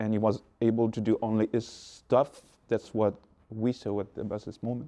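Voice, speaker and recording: Speaking at a moderate pace with a French accent, a man uses a medium pitch, a dark, mellow tone and monotone, flat intonation over a quiet background. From France. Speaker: beatboxer. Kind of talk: interview. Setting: backstage before a concert. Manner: halting.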